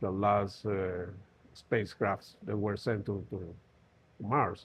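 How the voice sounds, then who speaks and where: A man with a Spanish accent talks at a very slow pace. His voice is somewhat breathy and fairly low. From Colombia. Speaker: safety trainer. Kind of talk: interview. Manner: halting.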